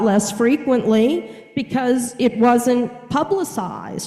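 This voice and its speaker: With audible room echo, a woman speaks very slowly in a fairly high voice. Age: 60s. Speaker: counselor / mental health professional. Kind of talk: lecture. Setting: video call. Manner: conversational, with fillers.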